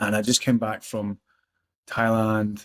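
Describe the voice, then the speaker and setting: A man speaks at a fairly low pitch with a Scottish accent. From Scotland. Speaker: personal development coach. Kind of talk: casual interview answer.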